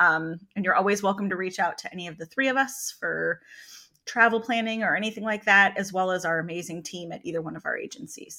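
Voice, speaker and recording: Her voice is bright and sharp, a woman with an American accent and medium pitch whose loudness swings widely while her pitch varies in an ordinary way, on a very clean recording with a silent background. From California. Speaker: travel advisor and podcast co-host. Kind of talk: casual chat.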